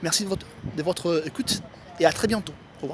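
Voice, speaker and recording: There is noticeable background noise. A man talks at a moderate pace with ordinary pitch variation. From Italy. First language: Italian (speaking French). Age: 20s. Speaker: writer giving language tips. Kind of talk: tutorial. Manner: halting, many hesitations.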